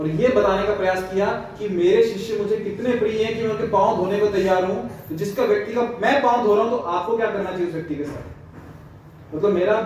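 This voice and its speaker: A man speaks at a moderate pace with a high pitch and ordinary pitch variation. The recording has noticeable background noise and audible room echo. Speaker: scripture teacher. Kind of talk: religious class on scripture. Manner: interactive, asks audience questions.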